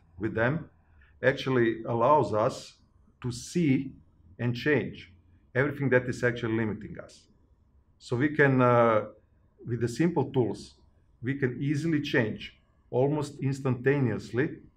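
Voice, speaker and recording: A somewhat breathy man talks at a fairly slow pace with long, frequent pauses. His pitch variation is ordinary. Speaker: personal growth facilitator. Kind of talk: interview answer. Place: home room.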